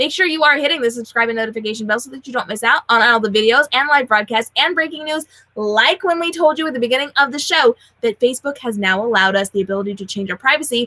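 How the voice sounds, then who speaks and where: A woman with a high pitch talks at a very fast pace, her tone animated and her intonation lively. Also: big swings in loudness, dry, close sound with no echo. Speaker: social media educator and show host. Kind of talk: live show outro. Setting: livestream.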